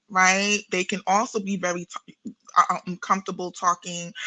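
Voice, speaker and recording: A woman with a New York accent, medium in pitch with a bright, sharp tone, the sound dry and close with no echo over a quiet background. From New York City. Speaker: therapist and spiritual practitioner. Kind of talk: podcast interview.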